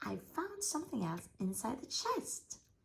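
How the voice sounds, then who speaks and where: A female-sounding put-on character voice, pitched high and delivered at a moderate pace. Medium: read story.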